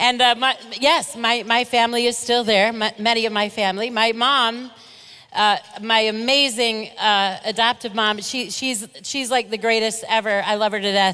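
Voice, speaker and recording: Loud and bright, a woman with an American accent speaks in a sharp tone at a fairly high pitch with fairly even intonation. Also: moderate pace. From Michigan, Grand Rapids. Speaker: keynote speaker. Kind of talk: keynote speech. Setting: banquet hall with audience.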